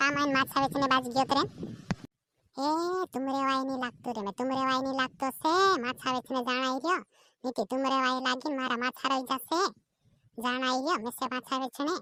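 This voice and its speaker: At a moderate pace, a female-sounding voice does a cartoonish character voice with a high pitch. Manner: loud street-hawker calls.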